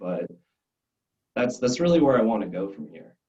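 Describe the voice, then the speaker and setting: A man with a medium-pitched voice. His tone is dark and mellow. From Arizona, US (Scottsdale), Belgian family. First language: French. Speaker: glassblowing student. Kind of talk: interview. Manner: halting, many restarts.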